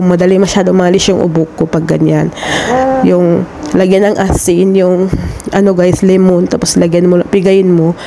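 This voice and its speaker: A woman speaks at a moderate pace with a medium pitch and very even loudness. Noticeable background noise runs behind her. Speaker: overseas domestic worker vlogger. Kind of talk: casual vlog.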